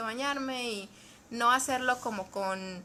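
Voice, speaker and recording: With a bright, sharp tone, a woman speaks at a high pitch and with fairly even intonation. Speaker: psychologist or therapist. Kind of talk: live stream talk. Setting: Facebook live video. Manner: fast.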